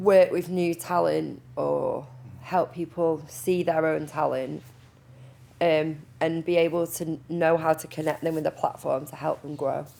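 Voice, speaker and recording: With a Manchester accent, a woman talks at a fairly slow pace in a very deep, low pitch with a dark, mellow tone, vocal fry and fairly even intonation. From Manchester, northern England. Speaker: project manager and music teacher. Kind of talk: panel discussion.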